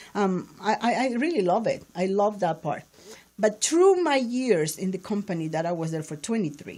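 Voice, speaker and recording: A woman at medium pitch with a Spanish accent, a dark, mellow tone, lively intonation and a moderate pace, on a very clean recording with a silent background. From Peru, Lima. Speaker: entrepreneur in print sales. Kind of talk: interview conversation.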